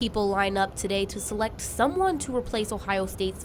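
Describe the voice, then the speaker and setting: A woman at medium pitch with ordinary pitch variation, fairly quick in pace, with music in the background. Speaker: news reporter. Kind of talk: TV news report.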